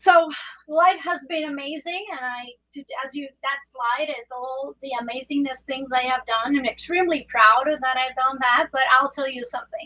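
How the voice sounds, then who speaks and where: A woman with a Spanish accent speaks at a high pitch, her loudness swinging widely. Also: ordinary pitch variation, moderate pace. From Puerto Rico. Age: 40s. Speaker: trauma surgeon. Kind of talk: presentation talk.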